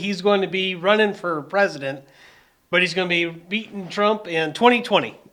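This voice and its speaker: Raising and projecting his voice, a man talks fairly quickly at a high pitch with ordinary pitch variation. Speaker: news commentary podcast host. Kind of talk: casual political commentary.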